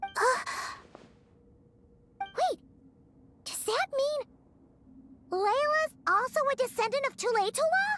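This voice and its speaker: Someone performs a put-on character voice at a fairly slow pace with lively intonation and long, frequent pauses, in a dry, close sound with no echo. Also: woman, extremely high pitch for a woman. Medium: video game. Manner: hesitant, soft-spoken.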